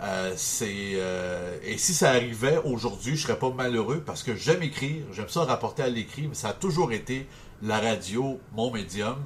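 This man has a plain, everyday voice at a medium pitch. His intonation is lively and his pace is moderate. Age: 30s. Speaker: sports radio morning host. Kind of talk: interview.

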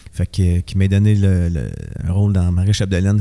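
With a Quebec accent, a man with a fairly low pitch and a dark, mellow tone talks at a fairly quick pace in a monotone, flat delivery. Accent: Québécois French. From Montreal (Rosemont). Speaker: musician and actor. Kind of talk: casual interview.

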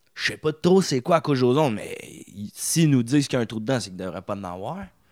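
With a Quebec accent, a man speaks in an animated tone that swings very widely in pitch. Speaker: comedian. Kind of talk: casual chat.

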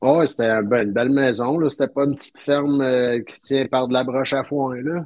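In a Quebec accent, a man speaks at a medium pitch with fairly even intonation. He leaves hardly any pauses. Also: fairly quick pace. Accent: Québécois French. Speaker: slot car and RC hobbyist. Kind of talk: casual chat.

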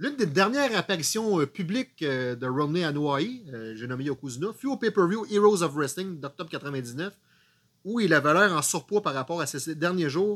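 This man has a plain, everyday voice, fairly high in pitch, with lively intonation and a fairly slow delivery. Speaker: wrestling podcast co-host. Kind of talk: casual chat.

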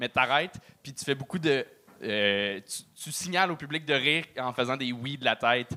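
With a bright, sharp tone, a man speaks at a medium pitch and a moderate pace. His pitch varies in an ordinary way while his loudness swings widely. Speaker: podcast host, comedian. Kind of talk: casual chat. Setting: stage with audience.

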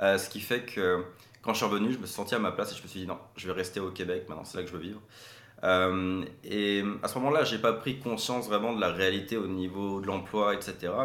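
A man's fairly low, fairly quick speech with fairly even intonation and audible room echo. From Quebec (Saint-Paulin, Mauricie), teen years in France. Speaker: marketing entrepreneur and consultant. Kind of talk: interview.

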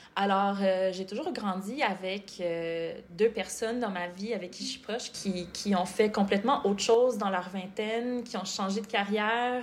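A woman's medium-pitched voice, fairly slow and fairly even in intonation, over noticeable background noise. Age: 30s. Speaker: medical student, former nutritionist. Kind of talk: podcast interview.

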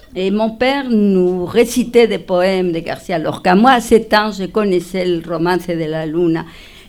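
Speaking in a Spanish accent, a woman uses a fairly low pitch and a fairly slow pace with ordinary pitch variation. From Spain, Madrid. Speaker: multidisciplinary artist and storyteller. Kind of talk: casual chat. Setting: stage with audience.

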